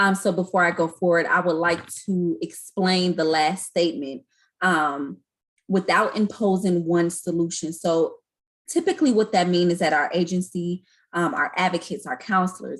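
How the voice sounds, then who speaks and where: This woman has a normal speaking voice, fairly low in pitch, with very even loudness, fairly even intonation and a moderate pace. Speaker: community educator. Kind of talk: online training presentation.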